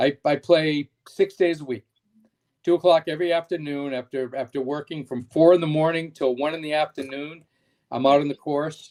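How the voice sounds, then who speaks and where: A man's unremarkable speaking voice, fairly high in pitch, at a moderate pace, in a dry, close sound with no echo. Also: quiet background. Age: 60s. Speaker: shoe business owner. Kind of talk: casual chat.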